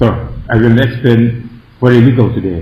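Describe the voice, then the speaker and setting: A man's medium-pitched voice at a fairly slow pace, with audible room echo and noticeable background noise. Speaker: Buddhist monk and meditation teacher. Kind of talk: meditation lecture. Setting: meditation centre. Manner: halting.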